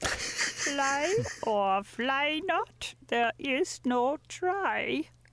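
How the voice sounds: A croaky, high-pitched put-on character voice at a very slow pace.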